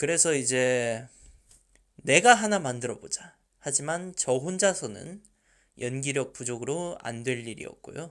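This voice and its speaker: At a fairly slow pace with long, frequent pauses, a man speaks in a fairly high pitch with lively intonation and big swings in loudness. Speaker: fan dubbing team leader, aspiring voice actor. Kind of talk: Q&A answers, casual talk.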